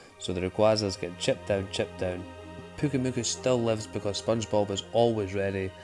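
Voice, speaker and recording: A man's fairly low voice in a Scottish accent, fairly quick and fairly even in intonation, with music in the background. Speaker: gaming YouTuber. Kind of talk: gameplay commentary. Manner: casual, sweary.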